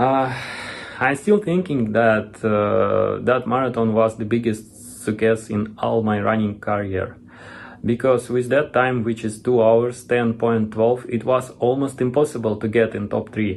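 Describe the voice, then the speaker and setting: A man with a Russian accent speaks at a fairly slow pace, with a medium pitch and fairly even intonation. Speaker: retired marathon runner. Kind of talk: video testimony. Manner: halting.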